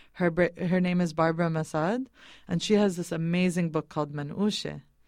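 A woman with an ordinary speaking voice and an American accent speaks at a fairly low pitch. Her intonation is fairly even, and the recording is very clean with a silent background. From New England, US (Boston). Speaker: food caterer and activist. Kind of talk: interview. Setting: studio.

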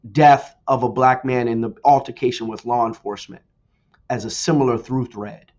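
This man has a normal speaking voice, medium in pitch, with an American accent, talking at a moderate pace. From US Northeast, New Jersey. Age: 50s. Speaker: forensic pathologist and professor. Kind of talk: radio interview.

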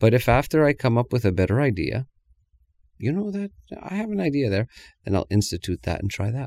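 A soft-spoken man talks at a fairly quick pace with very wide pitch swings and long, frequent pauses. The sound is dry and close with no echo, on a very clean recording with a silent background. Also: medium pitch for a man. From Canada. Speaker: actor and pianist. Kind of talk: interview.

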